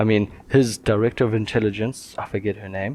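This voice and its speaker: Monotone, flat intonation from a man with a fairly low-pitched voice. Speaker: podcast co-host. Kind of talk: casual chat. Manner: slow.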